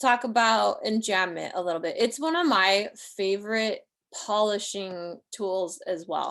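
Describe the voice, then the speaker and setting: Against a quiet background, a woman with a plain, everyday voice and medium pitch speaks fairly slowly with lively intonation. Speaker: poet and writing teacher. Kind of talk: online workshop lecture. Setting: livestream video call. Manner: casual, filler-heavy.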